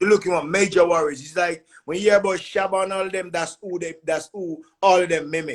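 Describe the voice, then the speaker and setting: A man's fairly quick, monotone delivery in a Jamaican accent, high-pitched, flat in intonation, with hardly any pauses. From Jamaica, Spanish Town. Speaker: musician. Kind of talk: interview.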